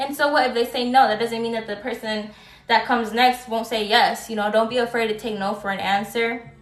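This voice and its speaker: A woman speaks at a fairly quick pace with fairly even intonation over noticeable background noise. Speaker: tarot reader. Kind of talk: live stream tarot reading. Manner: halting, stutters at times; casual, filler-heavy.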